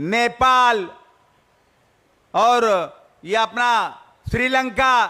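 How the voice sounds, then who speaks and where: Raised and projected, a man's voice sits at an extremely high pitch with a bright, sharp tone. His intonation is fairly even. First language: Marathi (speaking Hindi). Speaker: politician. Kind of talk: political speech.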